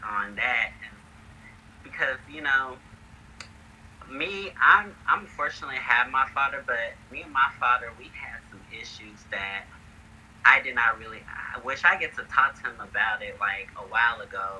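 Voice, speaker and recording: At a moderate pace, the speech shows big swings in loudness over noticeable background noise. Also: man. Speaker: independent filmmaker. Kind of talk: interview. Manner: halting.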